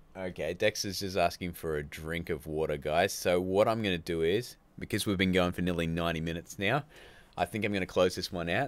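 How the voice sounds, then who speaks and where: The recording is very clean, with a silent background. A man with an Australian accent and a very deep, low voice talks at a fairly quick pace with ordinary pitch variation. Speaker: YouTube filmmaking channel host. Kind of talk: live stream chat. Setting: live stream. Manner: casual, chatty.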